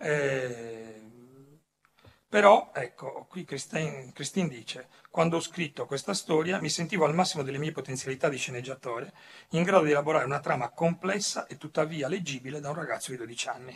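At a fairly quick pace, a man with a somewhat breathy, fairly high voice talks with ordinary pitch variation. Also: big swings in loudness. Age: old. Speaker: comics writer. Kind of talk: panel talk. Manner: halting.

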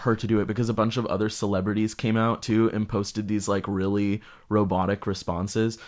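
The man has an ordinary speaking voice, fairly low in pitch. He talks at a moderate pace over a quiet background. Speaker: film podcast guest. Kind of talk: casual chat.

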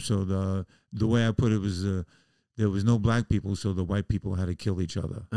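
In an American accent, a man with a fairly low pitch and a dark, mellow tone talks at a fairly quick pace, recorded very clean with a silent background and a dry, close sound with no echo. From US Northeast, the Bronx, New York City. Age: 70s. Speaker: musician and comedian. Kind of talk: casual chat. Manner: animated.

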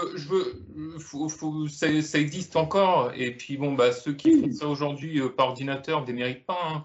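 At a moderate pace, a man with fairly high pitch speaks with ordinary pitch variation and hardly any pauses. His voice is somewhat breathy. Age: 30s. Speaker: film enthusiast panelist. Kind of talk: casual chat.

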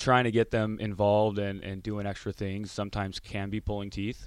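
On a very clean recording with a silent background, a man uses a plain, everyday voice with an American accent and a fairly low pitch. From Orange County, Southern California. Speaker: goaltending coach and former player. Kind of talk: radio interview.

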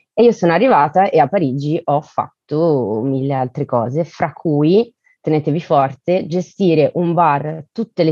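A woman talks at a moderate pace with a very deep, low pitch. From Italy, Bergamo and Elba (Tuscany). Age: 30s. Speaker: guest, works in crowdfunding platform. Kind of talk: casual chat.

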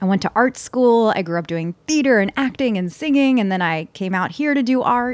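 A woman with a Philadelphia accent, fairly high in pitch, at a fairly quick pace with lively intonation, recorded very cleanly against a silent background in a dry, close sound with no echo. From Philadelphia, US. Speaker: success coach. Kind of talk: casual interview chat.

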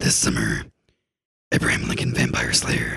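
A man performs a raspy, put-on character voice. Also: moderate pace. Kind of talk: dramatic, trailer narration.

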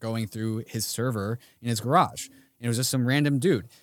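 A man with an ordinary speaking voice talks at a fairly quick pace, his medium pitch moving with ordinary variation, on a very clean recording with a silent background. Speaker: podcast co-host. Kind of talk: casual chat.

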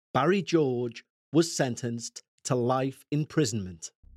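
A man with a Liverpool accent and lively intonation, on a very clean recording with a silent background and a dry, close sound with no echo. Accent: Liverpool Scouse. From Liverpool, England. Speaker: true crime podcast host. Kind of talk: scripted narration.

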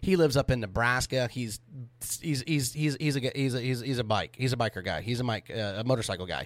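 In a very clean recording with a silent background, a man with an American accent speaks very fast at a medium pitch with ordinary pitch variation. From US South, Oklahoma then Florida. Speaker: podcast host, motorcycle enthusiast. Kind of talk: casual chat. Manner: halting, many fillers.

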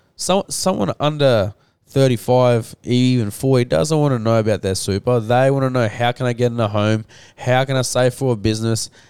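Delivered at a fairly quick pace in an Australian accent, the speech has ordinary pitch variation, very even loudness, and a dry, close sound with no echo. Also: man, medium pitch for a man. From Rockhampton, Queensland, Australia. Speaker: financial planner. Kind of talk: casual chat.

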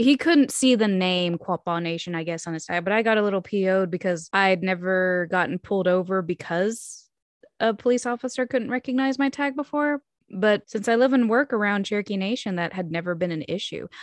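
A woman with an American accent talks at a fairly quick pace with lively intonation, in an ordinary speaking voice. The sound is dry and close with no echo, over a quiet background. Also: medium pitch for a woman. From Oklahoma. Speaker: podcast co-host. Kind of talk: casual chat.

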